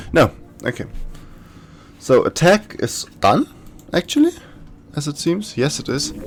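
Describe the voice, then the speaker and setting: With a German accent, this speaker goes at a fairly slow pace, leaving long, frequent pauses. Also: man. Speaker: gaming YouTuber. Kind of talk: gameplay commentary. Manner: casual, thinking aloud.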